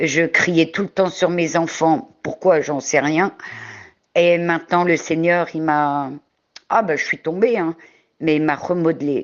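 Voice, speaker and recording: This woman's voice sits at a fairly low pitch with ordinary pitch variation. She leaves long, frequent pauses. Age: 60s. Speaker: testimony giver. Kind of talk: testimony. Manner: halting.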